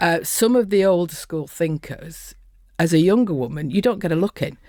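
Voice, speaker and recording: In a dark, mellow tone, a woman speaks at a fairly low pitch and moderate pace with lively intonation. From northern England, Lancashire. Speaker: construction safety consultant. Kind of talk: interview. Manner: animated.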